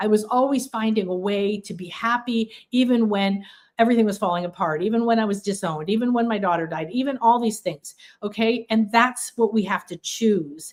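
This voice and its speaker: A woman talks in a normal speaking voice, fairly high in pitch with ordinary pitch variation, at a fairly quick pace. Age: 60s. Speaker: spiritual teacher. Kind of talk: livestream workshop talk. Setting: livestream.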